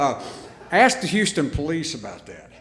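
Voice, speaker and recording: A voice with a Southern US accent swings very widely in pitch. Audible room echo and noticeable background noise surround it. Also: man. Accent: country-sounding Southern. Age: old. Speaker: radio host, hall of fame inductee. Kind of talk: acceptance speech. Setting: stage with audience. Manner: halting, stumbling.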